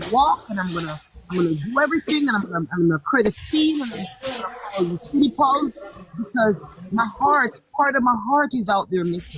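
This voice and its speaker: The speech moves at a fairly quick pace in an animated tone. Background noise is noticeable. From Jamaica. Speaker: live stream panelist. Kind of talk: heated debate. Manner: animated, emotional.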